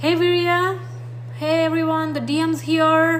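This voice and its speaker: A woman with a non-native accent at a fairly slow pace, with ordinary pitch variation, audible room echo and noticeable background noise. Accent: foreign. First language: not English. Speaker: astrology and twin flame reader. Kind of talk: livestream chat with viewer comments.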